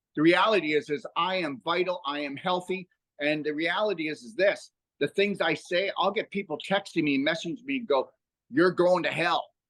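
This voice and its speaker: A man speaks at a high pitch in an animated tone. His pace is moderate, with ordinary pitch variation. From Canada. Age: 60s. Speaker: health educator and author. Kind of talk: podcast interview. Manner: halting with fillers.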